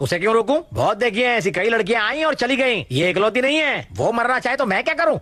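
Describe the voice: A man puts on a character voice pitched extremely high, bright and sharp in tone. His pitch swings widely at a fairly quick pace.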